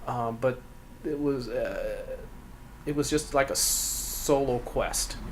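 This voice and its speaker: A man speaks at a very slow pace, with long, frequent pauses. Noticeable background noise and audible room echo fill the recording. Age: 60s. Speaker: cabinet maker and furniture designer. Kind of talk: interview. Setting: in his workshop. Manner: terse, short answers.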